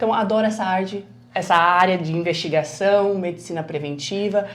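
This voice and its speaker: Medium-pitched female speech at a moderate pace, ordinary pitch variation, and audible room echo. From southern Brazil (Paraná, Mato Grosso do Sul). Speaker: physician, nutrologist. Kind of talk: interview.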